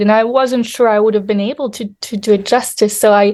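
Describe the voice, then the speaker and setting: Speaking with a French accent, a woman uses a fairly high pitch. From Europe. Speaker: novelist. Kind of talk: interview. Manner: halting, many fillers.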